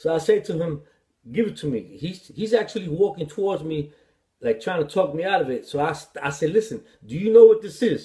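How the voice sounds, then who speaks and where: With a New York accent, a man speaks in a high pitch and a dark, mellow tone, his intonation lively and his loudness swinging widely. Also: fairly quick pace. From New York City. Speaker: author, former addict and ex-prisoner. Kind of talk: personal life story told to camera.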